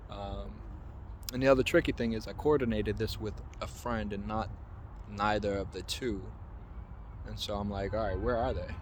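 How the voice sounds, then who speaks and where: Over audible room echo, a man talks at a moderate pace, broken by long, frequent pauses. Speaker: vlogger and freelance photographer. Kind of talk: casual vlog. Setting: outdoors in a park. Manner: hesitant, with filler words.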